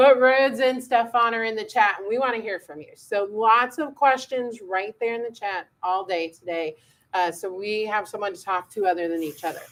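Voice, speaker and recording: Loud speech at a moderate pace runs with hardly any pauses and ordinary pitch variation. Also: woman, fairly high pitch for a woman. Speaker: education manager. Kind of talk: live stream chat. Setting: live studio stream.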